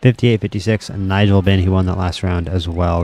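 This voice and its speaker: Speaking at a very fast pace, the man has a very deep, low pitch, and noticeable background noise is present. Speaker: video game commentator streamer. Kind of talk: live commentary. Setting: live stream. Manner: animated; loud.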